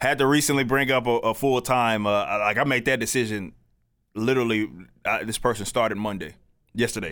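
A plain, everyday voice from a man with an American accent, medium in pitch, with ordinary pitch variation, a fairly quick pace, and a very clean recording with a silent background. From Texas, South Dallas. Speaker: commentator and musician. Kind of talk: casual interview.

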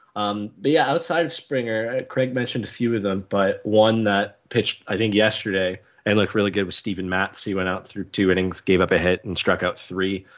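A man with a Canadian accent has a normal speaking voice at a fairly low pitch. He talks at a fairly quick pace with ordinary pitch variation. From Canada. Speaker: sports podcast co-host. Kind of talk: casual chat.

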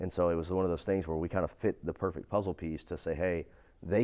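A man with an East Texas accent talks very fast in a very deep, low voice, his intonation fairly even, on a very clean recording with a silent background. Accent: East Texas Southern US. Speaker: fire protection business executive and entrepreneur. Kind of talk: interview conversation.

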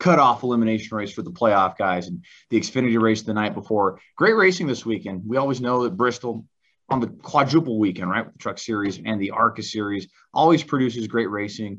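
A man talks at a fairly quick pace with lively intonation, his pitch medium and the background quiet. It is a plain, everyday voice. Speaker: motorsports commentator co-host. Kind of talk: casual chat.

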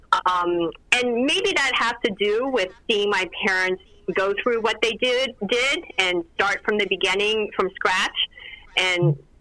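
Fairly slow speech from a woman at medium pitch, with ordinary pitch variation and noticeable background noise. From Lancaster, Pennsylvania (born abroad, Vietnamese family). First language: Vietnamese. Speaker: lawyer. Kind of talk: interview.

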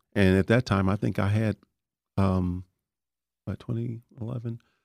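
A man with a Texan accent and fairly low pitch speaks at a fairly quick pace with ordinary pitch variation, in a dry, close sound with no echo and a very clean, silent background. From Texas Panhandle, raised in Dallas (Oak Cliff). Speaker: retired firefighter and paramedic. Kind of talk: interview.

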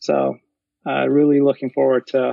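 The speaker is a man. His pace is very slow. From Turkey. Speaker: software consultant. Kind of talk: interview. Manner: frequent fillers and repetitions.

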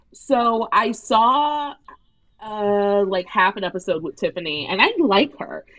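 A woman with an American accent speaks in a normal speaking voice at a fairly high pitch. Her intonation is lively and her pace fairly slow. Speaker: comedy writer and radio host. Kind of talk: casual chat.

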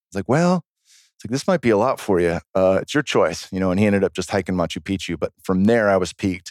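On a very clean recording with a silent background and a dry, close sound with no echo, a man with a fairly low pitch and ordinary pitch variation speaks at a very fast pace with hardly any pauses. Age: 40s. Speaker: former pro fighter and plant medicine practitioner. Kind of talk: casual chat.

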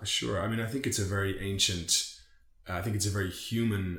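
The speaker has an Irish accent and moves at a fairly quick pace. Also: man. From Ireland. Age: 30s. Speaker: men's circle organiser, finance and tech professional. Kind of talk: casual podcast interview.

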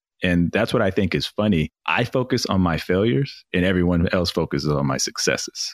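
A man's very deep, low voice with vocal fry and lively intonation, at a fairly quick pace with hardly any pauses and very even loudness, in a dry, close sound with no echo. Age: 30s. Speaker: podcast host appearing as guest. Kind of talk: casual interview chat.

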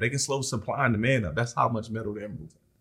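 There is a somewhat breathy quality to the voice. The background is silent, and the recording very clean. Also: man. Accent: American. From South Philadelphia. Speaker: entrepreneur, tow truck and recycling business owner. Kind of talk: casual interview.

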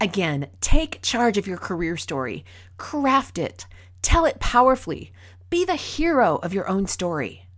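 Pitch swings very widely in this fairly slow delivery with an American accent. The recording is very clean, the background silent. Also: woman, medium pitch for a woman. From rural Minnesota. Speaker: podcast host, workplace communication consultant. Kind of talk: solo podcast talk, storytelling and advice.

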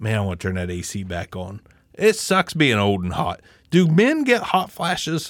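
This man's fairly low voice moves at a moderate pace with very wide pitch swings and big swings in loudness. The recording is very clean, with a silent background. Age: 40s. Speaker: podcast host. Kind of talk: casual chat. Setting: home podcast stream. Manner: casual, profane, joking.

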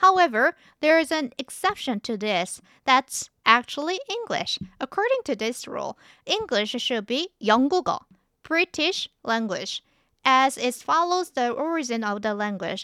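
In a Korean accent, a woman projects a raised, bright, sharp voice with a high pitch and very wide pitch swings. She goes at a fairly slow pace, and the very clean recording is dry and close, with no echo and a silent background. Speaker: language teacher podcast host. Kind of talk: language lesson.

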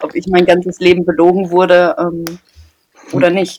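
A woman speaks at a fairly low pitch. She has an ordinary speaking voice. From Germany, Paderborn (Westphalia). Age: 20s. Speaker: podcast co-host, trainee. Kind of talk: casual chat.

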